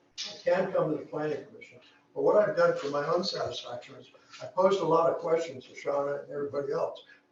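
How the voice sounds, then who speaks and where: A man talking at a very fast pace, with audible room echo. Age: 70s. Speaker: town council member. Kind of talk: public comment at town hall meeting. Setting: town hall meeting with audience. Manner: casual, rambling with fillers.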